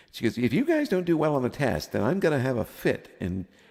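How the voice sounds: Speaking fast, a man with a medium pitch and a slightly mellow tone swings his pitch very widely.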